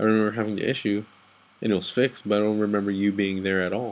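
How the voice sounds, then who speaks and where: In an American accent, a man talks at a very fast pace with a fairly low pitch and monotone, flat intonation. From Texas and Guatemala. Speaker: soldier, vlogger; vlogger. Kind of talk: late-night personal vent. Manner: halting. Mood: down, venting. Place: home room. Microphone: webcam.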